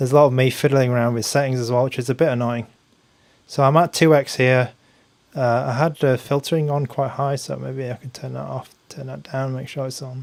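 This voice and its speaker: With an English accent, a man talks fairly quickly at a medium pitch in a flat, monotone way, his loudness swinging widely. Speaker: tech reviewer, gaming streamer. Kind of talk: live stream commentary while gaming. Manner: casual, hesitant with fillers.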